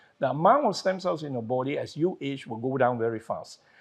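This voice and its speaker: A man with a plain, everyday voice talks at a fairly quick pace and fairly high pitch, with ordinary pitch variation. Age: 60s. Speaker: wellness doctor. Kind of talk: interview.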